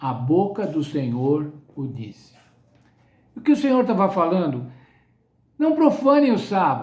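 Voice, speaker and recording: A man's fairly slow speech with audible room echo. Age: 70s. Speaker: Bible study teacher. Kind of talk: sermon-style Bible lesson.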